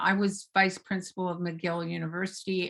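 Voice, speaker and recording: At a moderate pace, a woman with an unremarkable speaking voice and fairly low pitch speaks with fairly even intonation. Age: 60s. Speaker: author and psychotherapist, recovery advocate. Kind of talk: interview.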